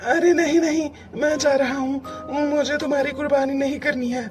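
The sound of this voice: A cartoonish character voice moves at a moderate pace with clear music in the background.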